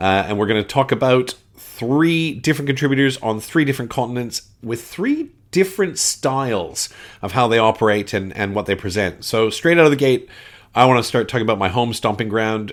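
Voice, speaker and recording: On a very clean recording with a silent background, a man speaks at a fairly quick pace with ordinary pitch variation. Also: medium pitch for a man. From Canada, Winnipeg. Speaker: board game podcaster. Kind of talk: casual podcast monologue. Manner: casual, with frequent fillers.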